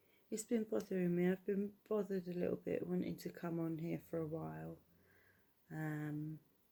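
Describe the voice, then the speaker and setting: A woman with a British accent talks at a moderate pace. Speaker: YouTube vlogger. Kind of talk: casual vlog monologue. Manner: quiet, low-voiced; hesitant, many fillers.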